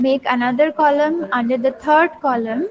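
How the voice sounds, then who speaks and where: Soft-spoken, a woman talks at a fairly slow pace in a high voice. Her intonation is lively. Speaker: teacher. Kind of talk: lecture. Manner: slow, repetitive dictation.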